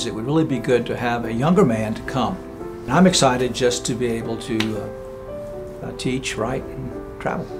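Over clear music in the background, a man with a medium pitch speaks at a moderate pace with lively intonation. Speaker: seminary president. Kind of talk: institutional announcement to camera. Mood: warm, grateful, humble. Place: home room.

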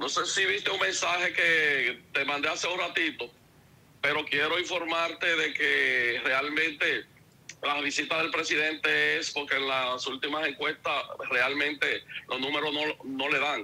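A man speaks at a fairly slow pace with fairly even intonation and a fairly high pitch. His tone is bright and sharp, with vocal fry.

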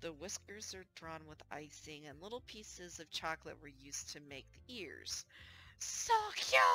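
A woman speaks at a moderate pace in a very deep, low pitch, with a bright, sharp tone, vocal fry and lively intonation. Her loudness swings widely, the sound is dry with no echo, and light background noise is present. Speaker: gaming streamer. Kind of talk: visual novel read-aloud. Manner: low mic volume. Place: home room.

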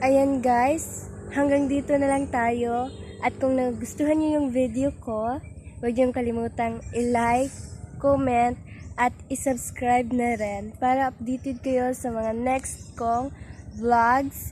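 A woman speaks very slowly in a high pitch, her dark, mellow tone held to a flat, monotone intonation. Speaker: vlogger. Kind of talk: casual vlog. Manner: giggly, laughing often.

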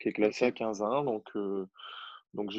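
A man speaks with a normal speaking voice. His pitch sits in the middle range and varies in an ordinary way. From Normandy, France. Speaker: tennis coach and competitive player. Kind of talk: casual interview chat.

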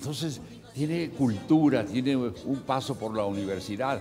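Fairly slow speech with ordinary pitch variation over music in the background. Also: man. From northern Mexico (Saltillo, Coahuila). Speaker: actor. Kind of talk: TV interview answer. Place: studio.

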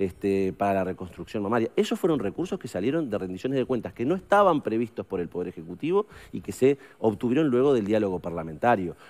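A man with a Uruguayan accent talks at a very fast pace. His pitch is fairly low, and his intonation is lively. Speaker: politician, member of parliament; politician. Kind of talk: radio interview. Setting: studio. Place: studio. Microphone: headset.

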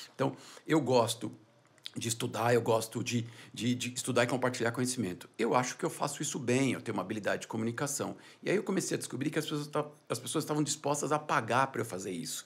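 Rattling along at a very fast pace, a man talks with ordinary pitch variation. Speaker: business founder and CEO; entrepreneur. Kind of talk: podcast interview. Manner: soft-spoken. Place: studio. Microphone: studio mic.

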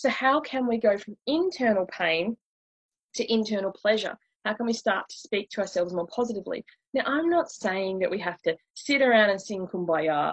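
With a slightly husky edge and lively intonation, a woman talks at a moderate pace and medium pitch in a dry, close sound with no echo.

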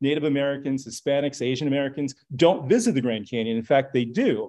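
A plain, everyday voice at a fairly quick pace over a quiet background. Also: man. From Los Angeles, California. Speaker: author and lecturer. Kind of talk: lecture. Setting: stage with audience. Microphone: video call.

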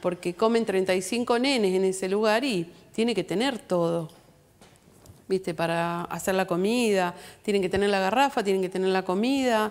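Her loudness very even and her pitch variation ordinary, a woman speaks at a moderate pace. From Argentina, Junín (Buenos Aires province); Buenos Aires province, Argentina. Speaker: guest. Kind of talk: TV interview. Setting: TV studio. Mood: earnest, concerned. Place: studio.

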